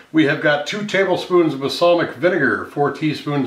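A man is heard with audible room echo. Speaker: cooking show host. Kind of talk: tutorial. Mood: friendly, upbeat. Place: kitchen.

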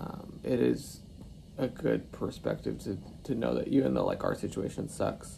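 A man talks fairly slowly against noticeable background noise. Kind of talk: casual vlog chat. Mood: worried but reflective. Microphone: phone near.

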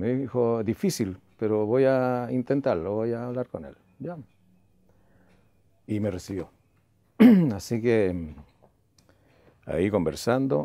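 The man's tone is dark and mellow, and the sound is dry with no echo. He talks at a very slow pace with long, frequent pauses. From Chile. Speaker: radio announcer. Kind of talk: interview answer. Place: home room. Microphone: lapel.

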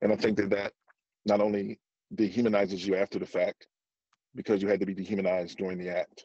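A man's fairly low, monotone, flat voice at a very fast pace with long, frequent pauses, dry with no echo against a quiet background. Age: 50s. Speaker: former football player and activist. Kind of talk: testimony. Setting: video call. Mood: serious, earnest. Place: car. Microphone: video call.

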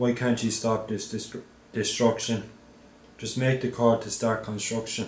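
Somewhat breathy and flat in intonation, a man with an Irish accent talks at a fairly slow pace, with audible room echo and light background noise. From Ireland. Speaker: anti-poverty activist. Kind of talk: poetry reading. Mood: earnest, appealing. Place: office.

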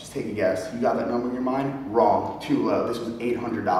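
A man talks at a moderate pace. Light background noise and audible room echo are present. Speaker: fitness vlogger. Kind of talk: casual vlog chat. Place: gym.

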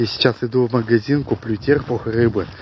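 This man speaks at a moderate pace with fairly even intonation. The sound is dry with no echo, over light background noise. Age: 20s. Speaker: vlogger, father of five, odd-job worker; vlogger. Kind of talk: casual vlog to camera. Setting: outdoors, walking to shop. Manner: casual, colloquial. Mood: cheerful. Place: street. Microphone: phone near.

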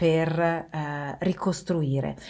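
A woman speaks at a fairly low pitch with a dark, mellow tone. The background is quiet. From Turin, northern Italy; northern Italy. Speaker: video blogger. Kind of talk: monologue to camera. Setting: recorded video while travelling. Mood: calm, serious. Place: home room. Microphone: webcam.

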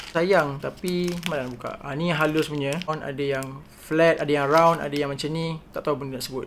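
A man speaks at a moderate pace with hardly any pauses, over light background noise. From Malaysia. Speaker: art content creator. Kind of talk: casual unboxing vlog. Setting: at home, sunlight from the side. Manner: animated. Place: home room. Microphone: phone near.

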